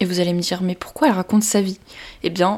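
A woman speaks at medium pitch with fairly even intonation. She has a normal speaking voice. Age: 20s. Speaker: podcast host, social media influencer and student. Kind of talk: solo podcast monologue, partly scripted. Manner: warm, informal.

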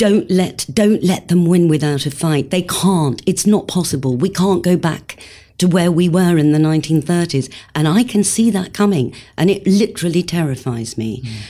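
A woman speaks with a dark, mellow tone at a fairly low pitch. Her intonation is lively and her pace moderate. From England, Wolverhampton (West Midlands). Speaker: actress. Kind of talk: casual chat.

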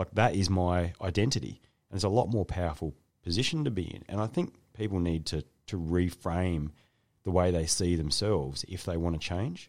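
Over a silent background, the recording is very clean. A man with an Australian accent speaks at a moderate pace in a very deep, low pitch with ordinary pitch variation. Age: 40s. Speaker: podcast host. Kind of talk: casual interview.

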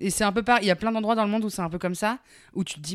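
This clip features a woman. Its recording is very clean, with a silent background. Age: 30s. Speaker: podcast co-host. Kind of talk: casual chat.

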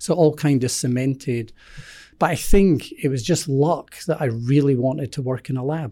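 In a Scottish accent, a man with a fairly high pitch and a dark, mellow tone talks at a moderate pace with ordinary pitch variation, on a very clean recording with a silent background. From Scotland. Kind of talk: interview.

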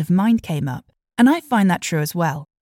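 A woman with a British accent speaks at medium pitch in a dark, mellow, somewhat breathy tone with lively intonation, recorded very cleanly against a silent background. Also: dry, close sound with no echo. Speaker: podcast host and voiceover artist. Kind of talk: scripted narration.

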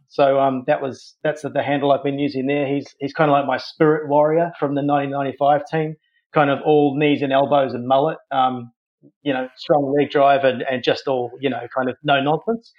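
A man speaks at a moderate pace with a New Zealand accent. His fairly high pitch stays monotone and flat. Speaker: podcast guest. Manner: casual, conversational.

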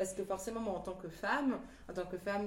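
A woman speaks with fairly even intonation. Audible room echo and noticeable background noise are present. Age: 30s. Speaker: teacher and artist. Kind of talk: casual interview.

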